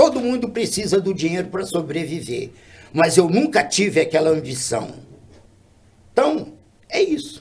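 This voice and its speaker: Pitched high, a man speaks at a moderate pace with very wide pitch swings and long, frequent pauses. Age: 70s. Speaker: boxing coach, martial arts master. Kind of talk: podcast interview, casual chat.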